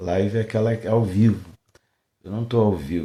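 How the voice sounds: A hoarse, fairly low put-on character voice from a man, delivered at a fairly quick pace.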